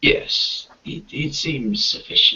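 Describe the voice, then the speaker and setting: Whispering, a man does a put-on character voice. The character voice stays a whisper throughout. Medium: actual play. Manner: whispering, secretive.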